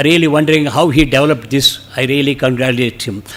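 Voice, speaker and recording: Noticeable background noise under a man's fairly high pitch and moderate pace. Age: 70s. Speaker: retiree, speaker's father. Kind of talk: testimony.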